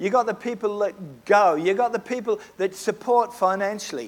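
A man with an Australian accent, high-pitched, at a moderate pace. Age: 70s. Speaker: preacher. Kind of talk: sermon. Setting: church.

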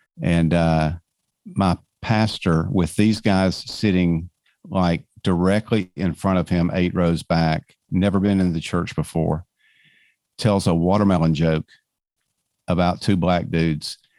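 With a Georgia accent, a man with a very deep, low pitch and a dark, mellow tone speaks fairly slowly and with fairly even intonation, leaving long, frequent pauses on a very clean recording with a silent background. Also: dry, close sound with no echo. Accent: Southern American (Georgia). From US South, suburbs of Atlanta, Georgia. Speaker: author and speaker. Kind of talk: interview conversation.

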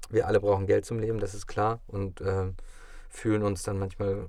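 This is a man's voice. His pitch sits fairly low. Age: 30s. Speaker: actor. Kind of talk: casual chat. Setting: studio.

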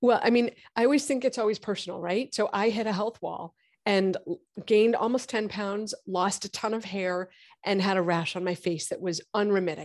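Against a quiet background, a woman with an unremarkable speaking voice talks at a moderate pace and a medium pitch, with ordinary pitch variation. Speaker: gynecologist. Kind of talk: interview, explaining medicine.

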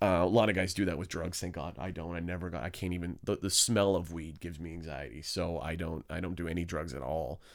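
A man with a Canadian accent talks at a very fast pace in a very deep, low pitch with vocal fry. The recording is very clean, with a silent background. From Hamilton, Ontario, Canada. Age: 20s. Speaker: stand-up comedian. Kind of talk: casual chat.

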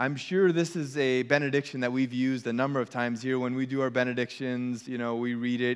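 In a plain, everyday voice, a man speaks at a moderate pace. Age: 40s. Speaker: pastor. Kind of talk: sermon. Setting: church.

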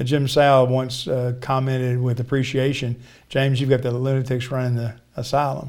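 A man with an American accent talks at a moderate pace in a medium pitch, his intonation flat and monotone. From Texas (Richardson, near Dallas). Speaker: pastor and charity executive. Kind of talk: interview conversation.

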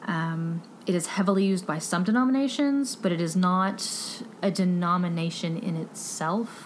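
A woman with a Texan accent talks at a moderate pace in a medium pitch, with ordinary pitch variation and very even loudness. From Texas. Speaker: book podcast host. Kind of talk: casual book review monologue.

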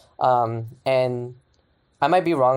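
In a very clean recording with a silent background, a man talks at a medium pitch. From California, Sacramento. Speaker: digital marketer and dancer. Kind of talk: casual chat. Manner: frequent fillers, slightly awkward.

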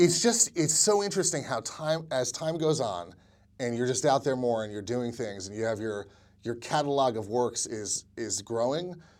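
A man with a normal speaking voice talks at a moderate pace with a medium pitch and lively intonation. The recording is very clean, with a silent background. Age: 40s. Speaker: filmmaker and screenwriter. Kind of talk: interview.

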